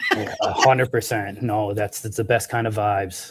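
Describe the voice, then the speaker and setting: A man speaks in a somewhat breathy voice. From Prince Edward Island, Canada. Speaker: cannabis product manager. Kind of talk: interview. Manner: halting.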